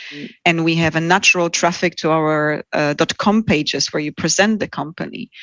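A woman with a Polish accent speaks at a moderate pace in a fairly low pitch, her intonation fairly even. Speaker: head of recruitment. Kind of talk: interview.

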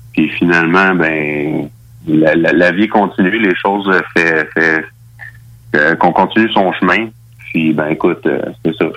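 Over noticeable background noise, a man with a very deep, low pitch speaks at a fairly slow pace with long, frequent pauses, fairly even intonation and very even loudness. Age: 30s. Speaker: MMA fighter. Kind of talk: radio interview.

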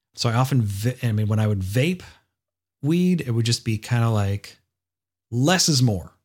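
A man speaks at a moderate pace and medium pitch, with lively intonation and a somewhat breathy sound. His loudness stays very even, long pauses come often, and the recording is very clean with a silent background. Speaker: podcast host. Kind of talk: casual monologue.

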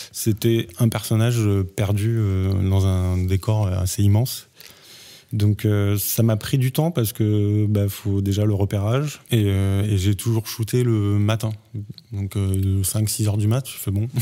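A man's dark, mellow voice at a very slow pace, with very even loudness and fairly even intonation. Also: fairly low pitch for a man. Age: 30s. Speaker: visual effects artist and photographer. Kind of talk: casual chat.

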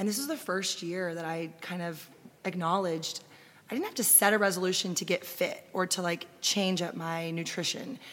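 A woman with an American accent, an ordinary speaking voice, medium pitch, ordinary pitch variation and a moderate pace. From Austin, Texas. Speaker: food and travel blogger. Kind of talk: casual interview chat. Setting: live recording at festival.

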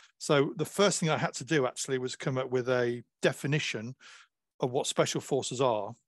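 In an ordinary speaking voice, a man talks at a moderate pace and medium pitch, with ordinary pitch variation, over a quiet background, the sound dry and close with no echo. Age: 50s. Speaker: historian and author. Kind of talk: interview.

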